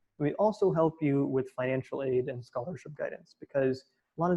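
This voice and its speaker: The voice is somewhat breathy, with ordinary pitch variation. It moves at a very fast pace. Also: man. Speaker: college admissions counselor. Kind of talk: webinar presentation. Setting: online webinar.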